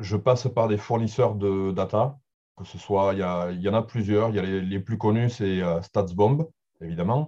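The man's fairly low voice moves fairly slowly, with pitch varying in an ordinary way. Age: 40s. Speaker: football data analyst. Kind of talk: interview. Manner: halting.

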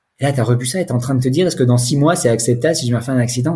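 A man speaks at a very fast pace in a somewhat breathy, dark, mellow tone. His medium pitch shows ordinary variation. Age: 40s. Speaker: sobriety coach. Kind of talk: testimony. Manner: halting.

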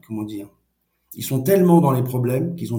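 This man's voice is medium-pitched and somewhat breathy. Its tone is dark and mellow. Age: 50s. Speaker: NGO director. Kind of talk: interview. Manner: halting, repeats words.

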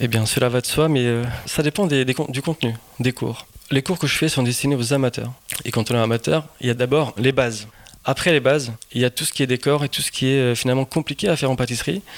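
Dry and close with no echo, a man's medium-pitched voice moves at a fairly quick pace with ordinary pitch variation. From Portugal (Lisbon). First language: Portuguese (speaking French). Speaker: pastry chef. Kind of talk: interview.

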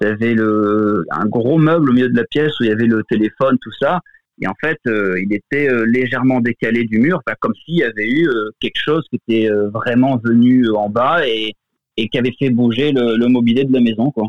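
Here a man speaks at a medium pitch and a moderate pace, with ordinary pitch variation. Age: 30s. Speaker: guest sharing a personal paranormal story. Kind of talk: testimony. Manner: halting, many fillers.

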